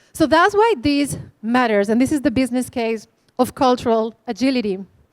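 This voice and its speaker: A woman's high voice with a Spanish accent, lively intonation and a fairly quick pace. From Spain. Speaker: conference speaker. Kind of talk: keynote talk. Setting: stage with audience.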